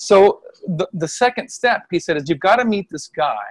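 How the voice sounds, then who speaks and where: Someone with an American accent talks at a moderate pace with lively intonation. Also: man. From US Midwest. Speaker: Chinese medicine practitioner and qigong healer. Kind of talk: casual interview. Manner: animated.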